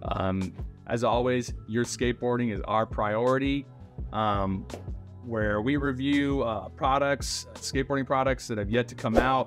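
Clear music plays behind a man speaking at a fairly slow pace. His pitch varies in an ordinary way. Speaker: skate shop host. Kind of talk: product review vlog. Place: shop.

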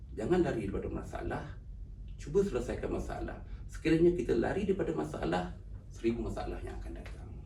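A man talks at a very fast pace with big swings in loudness, amid noticeable background noise and audible room echo. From Malaysia, Pahang and Selangor. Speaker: author and university driver. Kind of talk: interview. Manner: halting.

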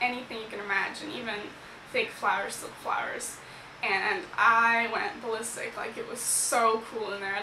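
The speech moves at a moderate pace with fairly even intonation. Light background noise and audible room echo are present. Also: woman. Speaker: vlogger. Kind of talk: casual vlog chat. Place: home room. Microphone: phone near.

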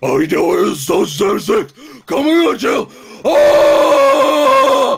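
A man puts on a character voice at an extremely high pitch. He speaks very slowly. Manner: gruff, comedic.

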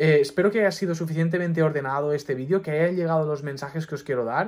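Speech at a very fast pace with ordinary pitch variation comes through in a very clean recording with a silent background. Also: man. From Mallorca, Spain. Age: 20s. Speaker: doctor and YouTuber. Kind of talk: personal advice monologue to camera.

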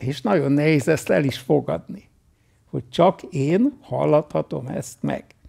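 A man talks very slowly with a quiet background. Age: 80s+. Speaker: meditation teacher. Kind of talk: Q&A talk at retreat. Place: home room.

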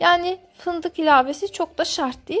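Background music plays throughout. A woman talks over it. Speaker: cooking channel host. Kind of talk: recipe voice-over narration.

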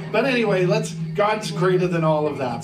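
Moderate pace and ordinary pitch variation over clear music in the background. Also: man. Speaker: pastor. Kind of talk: church welcome and prayer. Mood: warm, upbeat. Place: church.

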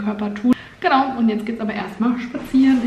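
The speaker's intonation is monotone and flat, with audible room echo around the voice. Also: woman. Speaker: vlogger. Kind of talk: casual vlog chat. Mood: relaxed, cheerful. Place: home room. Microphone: phone near.

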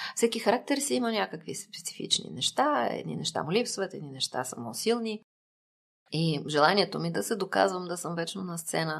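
At a moderate pace, a woman with a fairly low pitch and vocal fry shows very wide pitch swings and big swings in loudness. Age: 50s. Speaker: psychotherapist. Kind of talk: interview.

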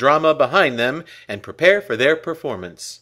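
Very wide pitch swings mark this man's fairly high, bright, sharp voice with vocal fry, at a moderate pace in a very clean recording with a silent background. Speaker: radio announcer. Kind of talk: old-time radio newsreel-style announcement.

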